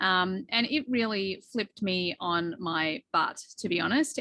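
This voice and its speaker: This woman speaks at a medium pitch with an Australian accent. Her tone is bright and sharp, and the sound is dry and close with no echo. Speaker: behavioral coach. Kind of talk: podcast interview.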